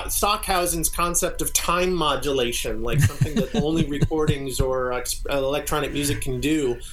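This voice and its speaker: With noticeable noise in the background, a man talks at a moderate pace. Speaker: experimental music group member, guest. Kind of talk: casual interview chat. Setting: video call.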